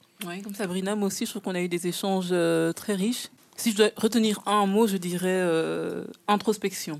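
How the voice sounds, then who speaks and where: A woman with a plain, everyday voice speaks at medium pitch and a moderate pace, her intonation fairly even. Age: 20s. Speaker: trainee social educator. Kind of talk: casual chat.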